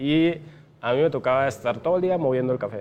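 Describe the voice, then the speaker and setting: A man talks with ordinary pitch variation. There is music in the background. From Guatemala, San Marcos (rural village). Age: 30s. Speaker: e-commerce entrepreneur. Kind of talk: interview. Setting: coffee shop.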